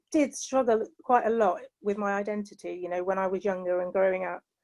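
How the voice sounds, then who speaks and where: The speaker is a woman with a British accent. She talks at a moderate pace. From England. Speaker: panelist. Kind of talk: panel discussion. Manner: hesitant, many fillers.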